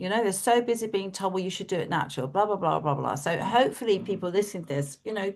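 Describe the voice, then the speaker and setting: With hardly any pauses, a woman speaks at a very fast pace and a medium pitch, with ordinary pitch variation and a quiet background. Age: 50s. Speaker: podcast host and relationship coach. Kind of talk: casual chat. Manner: animated.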